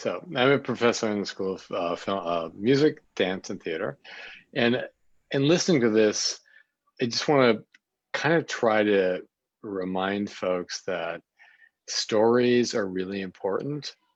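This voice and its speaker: Fairly slow, lively male speech at medium pitch, with long, frequent pauses over a quiet background. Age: 60s. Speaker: professor. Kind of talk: public comment at town hall.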